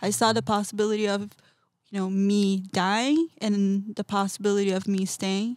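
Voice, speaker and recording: This woman speaks with a Portuguese accent. Her pace is moderate and her pitch variation ordinary. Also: medium pitch for a woman, very clean recording, silent background. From Brazil, São Paulo. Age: 20s. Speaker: artist. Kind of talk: casual interview. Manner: animated.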